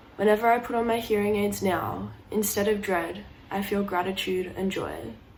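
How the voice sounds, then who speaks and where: A woman talks at a moderate pace with a medium pitch and fairly even intonation. She has a plain, everyday voice. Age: young. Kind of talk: personal story told to camera.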